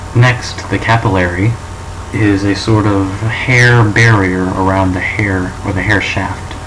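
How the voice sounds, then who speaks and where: The speech is monotone and flat at a fairly slow pace. Noticeable background noise and audible room echo come through. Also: man, fairly low pitch for a man. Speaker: student presenting a school project. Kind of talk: presentation of a topic, mock show. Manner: halting, with false starts.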